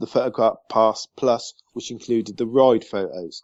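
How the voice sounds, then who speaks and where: In a British accent, a man speaks at a medium pitch. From southern England. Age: 40s. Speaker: podcast guest, Disney fan. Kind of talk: casual chat.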